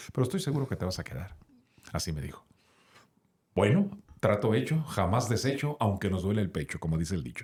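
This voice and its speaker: A somewhat breathy man speaks with very wide pitch swings and long, frequent pauses. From Sonora, Mexico. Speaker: radio announcer. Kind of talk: interview answer.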